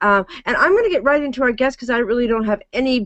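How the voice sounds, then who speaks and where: A woman speaks with a slight Michigan accent and ordinary pitch variation. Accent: slight Michigan nasal. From Michigan, US. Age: 60s. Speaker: talk show host. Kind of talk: interview chat.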